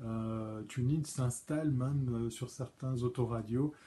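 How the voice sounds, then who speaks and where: A man's very slow, somewhat breathy voice at medium pitch, dark and mellow in tone. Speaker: live stream host. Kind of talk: solo live stream commentary. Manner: hesitant, many fillers and stammers.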